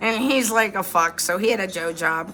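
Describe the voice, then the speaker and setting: Music plays in the background as a woman speaks in an animated tone. Her pitch variation is ordinary. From northeast Ohio, Youngstown area. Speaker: storytelling vlogger. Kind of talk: casual storytelling monologue. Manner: slurred, sounds drunk to some; rambling, animated.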